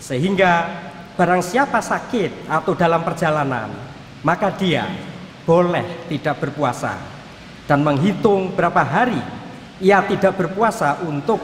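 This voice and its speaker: Light background noise and audible room echo accompany a man with a high pitch and ordinary pitch variation, talking at a fairly slow pace. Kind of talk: sermon. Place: church. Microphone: podium.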